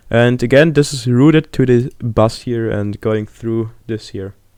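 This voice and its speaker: With a non-native accent, a man talks at a fairly slow pace in a medium pitch. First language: not English. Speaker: music producer. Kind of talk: tutorial. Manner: casual, hesitant with many fillers.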